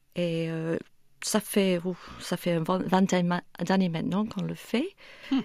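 Speech comes at a very slow pace with long, frequent pauses and ordinary pitch variation. The speaker talks in an English accent. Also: woman, medium pitch for a woman. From northern England, near Manchester and Liverpool. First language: English (speaking French). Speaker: church event organiser. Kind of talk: radio interview. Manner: hesitant, many fillers.

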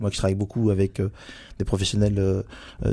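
Somewhat breathy with a dark, mellow tone, the voice comes through a very clean recording with a silent background. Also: man. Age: 50s. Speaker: general practitioner. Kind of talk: radio interview. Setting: studio. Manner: hesitant, many fillers.

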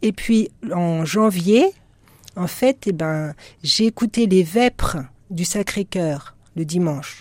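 A woman with a fairly low, somewhat breathy voice speaks at a very slow pace, with ordinary pitch variation and long, frequent pauses. The sound is dry and close with no echo, in a very clean recording with a silent background. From western France (Nantes). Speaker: religious sister. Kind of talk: radio interview.

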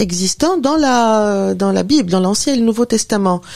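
With a dark, mellow tone, a woman speaks in a lively intonation. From Tunisia. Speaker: professor and author. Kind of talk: radio interview.

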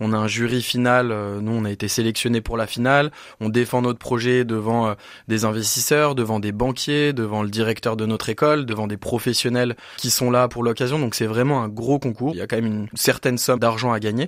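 In an unremarkable speaking voice, a man talks at a fairly quick pace with a medium pitch and fairly even intonation. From France, Dijon. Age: 20s. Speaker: entrepreneur, company co-founder. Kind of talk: radio interview.

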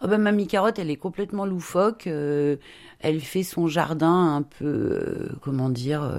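Lively intonation marks the fairly slow speech of a woman with an unremarkable speaking voice. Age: 50s. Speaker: children's book illustrator. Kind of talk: interview.

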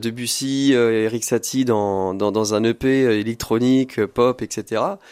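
Fairly even intonation from a man at a medium pitch, on a very clean recording with a silent background. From France, Loir-et-Cher (Blois). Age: 20s. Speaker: singer-songwriter. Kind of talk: radio interview. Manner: hesitant, many fillers.

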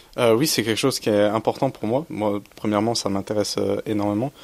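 This is a man's voice. It sits fairly low in pitch. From Champagne, France. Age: 20s. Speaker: student. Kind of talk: radio interview. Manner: halting.

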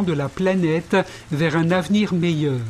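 Fairly slow speech from a man, ordinary pitch variation, noticeable background noise behind it. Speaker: history podcast presenter. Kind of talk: scripted narration of Olympic history. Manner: formal, measured, didactic.

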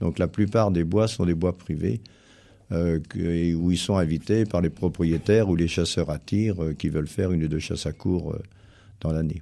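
A man's very deep, low voice, dark and mellow in tone, with ordinary pitch variation at a moderate pace on a very clean recording with a silent background. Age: 70s. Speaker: hunting federation official and country doctor. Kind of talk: radio interview.

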